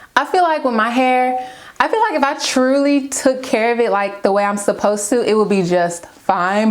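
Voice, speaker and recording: With noticeable background noise, a woman speaks using ordinary pitch variation. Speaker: beauty and lifestyle vlogger. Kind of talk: casual vlog chat. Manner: chatty.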